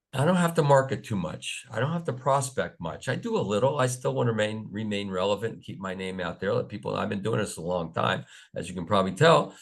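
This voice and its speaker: A man at a very fast pace with hardly any pauses, fairly low pitch, very wide pitch swings and vocal fry, over a quiet background. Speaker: professional speaker and business coach. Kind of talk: webinar presentation.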